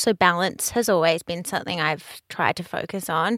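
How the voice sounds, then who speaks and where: In an Australian accent, a woman speaks at a moderate pace. Her tone comes across bright and sharp. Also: dry, close sound with no echo, very clean recording, silent background. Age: 30s. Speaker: fashion business owner and brand ambassador. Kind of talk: casual interview.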